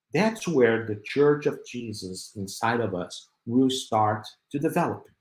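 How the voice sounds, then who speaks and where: Somewhat breathy and fairly slow, a man speaks with ordinary pitch variation amid audible room echo. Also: medium pitch for a man. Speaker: spiritist speaker. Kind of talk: lecture. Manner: halting, with fillers.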